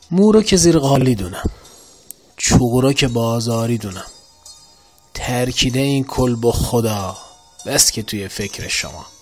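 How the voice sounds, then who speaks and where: Spoken at a fairly slow pace over background music, the voice has ordinary pitch variation and long, frequent pauses. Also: man, medium pitch for a man. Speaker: poetry reciter. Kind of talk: poetry reading.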